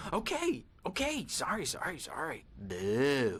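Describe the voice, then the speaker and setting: A man puts on a character voice at a fairly high pitch and a fairly slow pace. Light background noise can be heard. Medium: video game. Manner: giggly, erratic.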